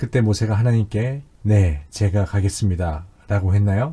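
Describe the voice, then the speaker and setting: This somewhat breathy voice has a dark, mellow tone, captured in a very clean recording against a silent background. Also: man. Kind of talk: testimony.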